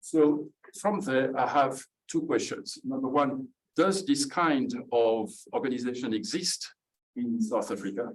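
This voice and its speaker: A man talks with a French accent at a fairly high pitch. His pitch swings very widely. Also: fairly slow pace. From France. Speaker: audience member asking a question. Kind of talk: audience question at a book launch. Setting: event with live audience.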